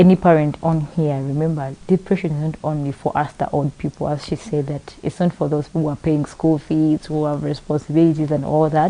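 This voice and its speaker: A woman speaks at a fairly quick pace with hardly any pauses, in a very deep, low pitch and a monotone, flat intonation. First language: not English. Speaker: talk show host. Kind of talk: panel discussion. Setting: live broadcast.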